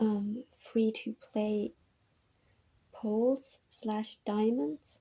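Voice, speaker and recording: A woman with a non-native accent speaks in a dark, mellow, somewhat breathy tone at a fairly high pitch with ordinary pitch variation. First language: not English. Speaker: gaming video essayist. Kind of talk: video essay commentary from notes. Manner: casual, many filler ums.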